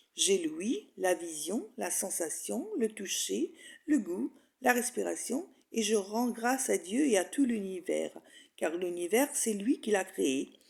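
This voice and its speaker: Speaking at a very slow pace, a woman with vocal fry uses a medium pitch and very wide pitch swings. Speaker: hypnosis and spirituality author and guide. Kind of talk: hypnosis meditation guide reading affirmations. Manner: calm, slow, soothing.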